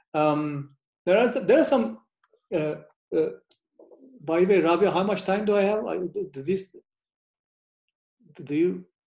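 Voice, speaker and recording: With a Turkish accent and a high pitch, a man speaks at a fairly slow pace with lively intonation and long, frequent pauses. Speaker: professor. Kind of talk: lecture. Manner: halting.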